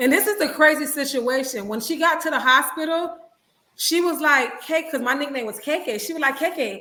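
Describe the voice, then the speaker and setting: A woman speaks fairly quickly in a high, raised, projected voice with an animated tone, and the room echo is audible. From Little Haiti, Miami, Florida (Haitian American). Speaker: minister, guest speaker. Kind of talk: testimony. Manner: sometimes mumbles.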